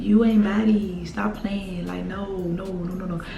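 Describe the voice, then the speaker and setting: A woman's medium-pitched voice with an American accent, fairly even intonation and a moderate pace, music playing in the background. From Mississippi. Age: 20s. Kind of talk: casual storytime talk to camera.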